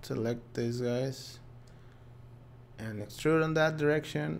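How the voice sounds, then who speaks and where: Audible room echo and ordinary pitch variation. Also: man. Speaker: 3D software trainer. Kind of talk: live tutorial webinar. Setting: live stream. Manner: casual, chatty.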